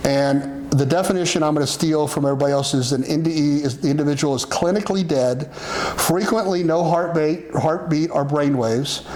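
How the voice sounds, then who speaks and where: Fairly quick speech with hardly any pauses, fairly even intonation and very even loudness, over noticeable background noise. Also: man, fairly high pitch for a man. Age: 60s. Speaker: religious talk show host teaching about the afterlife. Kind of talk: casual teaching chat. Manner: halting, many fillers and restarts.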